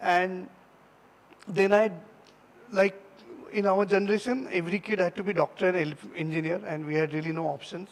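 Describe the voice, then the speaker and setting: Speaking with a Marathi accent, a man with a high voice and ordinary pitch variation keeps a moderate pace with long, frequent pauses. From India, Maharashtra (near Nagpur). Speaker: designer giving a guest talk. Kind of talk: talk to students. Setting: stage with audience. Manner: halting, many fillers.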